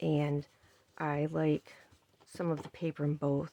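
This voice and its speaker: A soft-spoken woman talks with a very deep, low pitch. The sound is dry and close, with no echo. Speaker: crafting youtuber. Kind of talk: tutorial.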